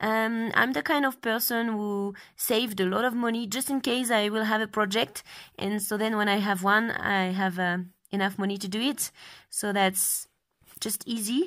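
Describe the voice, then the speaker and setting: With a French accent, a woman speaks at a moderate pace and a fairly high pitch, her pitch varying in an ordinary way. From France. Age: 20s. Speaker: travel blogger. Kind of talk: interview. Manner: halting.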